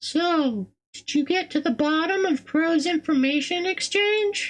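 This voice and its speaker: This put-on character voice is squeaky and extremely high-pitched. It moves at a fairly slow pace. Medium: game stream. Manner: warm, gentle.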